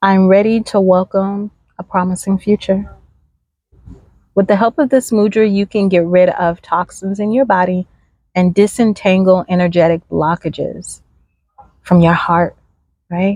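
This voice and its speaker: A soft-spoken woman with a medium pitch and a dark, mellow tone talks at a fairly slow pace with fairly even intonation. Her speech has long, frequent pauses and a dry, close sound with no echo. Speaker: spiritual oracle card reader. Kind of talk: oracle card reading. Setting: outdoors. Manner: slow, unhurried.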